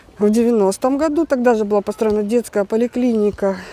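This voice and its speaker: There is noticeable background noise. A woman's voice rises over it at a fairly high pitch. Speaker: vlogger. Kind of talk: casual vlog commentary. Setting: outdoors at the beach.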